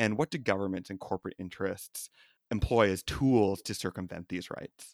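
A man with a Canadian accent talks at a fairly quick pace in an ordinary speaking voice, fairly low pitched. The recording is very clean, with a silent background. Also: dry, close sound with no echo. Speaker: podcast host. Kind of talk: casual political discussion and interview.

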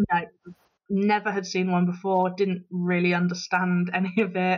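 Fairly low female voice, monotone and flat, at a moderate pace. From Bristol, England. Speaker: travel blogger. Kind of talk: casual interview, recounting trip. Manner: casual, hesitant with fillers.

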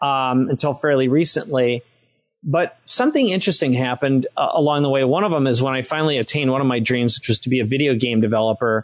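Speaking very fast with an American accent, a man uses ordinary pitch variation. The background is quiet. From Minnesota, US Midwest. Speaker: entrepreneur and author. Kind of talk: interview. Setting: podcast interview.

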